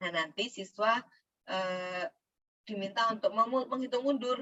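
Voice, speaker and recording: A woman is speaking. Her pace is moderate. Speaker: teacher trainer. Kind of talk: lecture. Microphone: too quiet.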